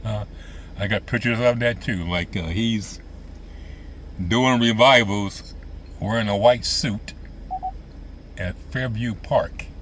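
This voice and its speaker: With noticeable background noise, a man speaks at a medium pitch and a very slow pace, leaving long, frequent pauses. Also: ordinary pitch variation. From US Midwest, central Illinois. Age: 70s. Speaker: vlogger reminiscing. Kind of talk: casual monologue. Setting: outdoors by lake boat docks.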